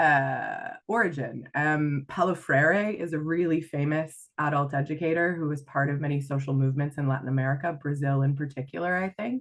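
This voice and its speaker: Speaking at a moderate pace with hardly any pauses, a woman has a very deep, low pitch and ordinary pitch variation. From rural Canada. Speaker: life and leadership coach. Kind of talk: podcast interview.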